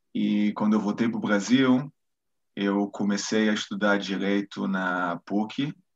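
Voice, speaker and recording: A man talks at a fairly slow pace in a fairly low pitch, with ordinary pitch variation. He has a plain, everyday voice. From Brazil, Rio de Janeiro. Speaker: military lawyer. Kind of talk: interview.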